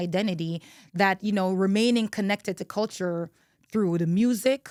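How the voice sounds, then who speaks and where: A woman speaks at a fairly quick pace with an animated tone and ordinary pitch variation. The recording is very clean, with a silent background and a dry, close sound with no echo. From Jamaica, then the Bronx, New York. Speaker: podcast host and attorney. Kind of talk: personal storytelling podcast monologue. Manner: animated, conversational with fillers.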